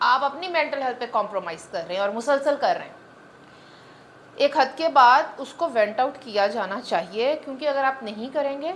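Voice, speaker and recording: Amid noticeable background noise, a woman with a Punjabi accent speaks at a high pitch with lively intonation. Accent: Punjabi accent in Urdu. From Punjab, Pakistan. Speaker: guest on women's podcast. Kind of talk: podcast interview.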